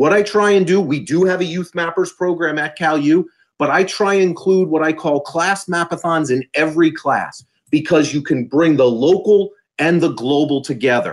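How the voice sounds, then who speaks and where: An animated man with a fairly high pitch, ordinary pitch variation and a moderate pace, against a quiet background. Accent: American. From US Northeast, South Jersey; New Jersey. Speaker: university professor. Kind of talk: conference presentation. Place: home room.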